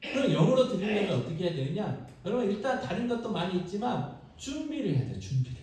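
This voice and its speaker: A man talks in a high pitch with an animated tone and very wide pitch swings. There is audible room echo and noticeable background noise. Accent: Jeolla. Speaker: pastor. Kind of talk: sermon. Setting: church.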